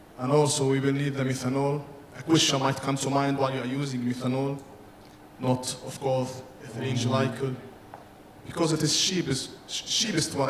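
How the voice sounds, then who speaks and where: Over noticeable background noise, a man is heard with audible room echo. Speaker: engineering presenter. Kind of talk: technical presentation. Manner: fast.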